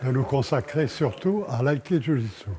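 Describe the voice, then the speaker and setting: Lively intonation marks this man's medium-pitched voice. He talks at a very slow pace. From France. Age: 90s. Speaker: martial arts master. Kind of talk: documentary interview.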